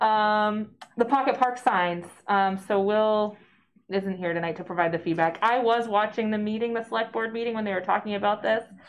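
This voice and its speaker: Over light background noise, a woman speaks at a moderate pace with fairly even intonation. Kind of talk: meeting discussion. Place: meeting room. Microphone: camera far.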